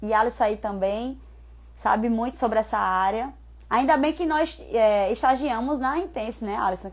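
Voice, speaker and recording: With a normal speaking voice, a woman talks at a moderate pace and a fairly high pitch with ordinary pitch variation, in a very clean recording with a silent background. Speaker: personal trainer. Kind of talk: live stream talk.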